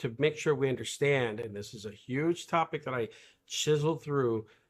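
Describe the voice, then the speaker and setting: Recorded very cleanly against a silent background, a man with an unremarkable speaking voice talks at a moderate pace and medium pitch, with ordinary pitch variation. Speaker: leadership coach and live stream interviewer. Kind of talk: casual interview conversation. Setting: live stream video interview.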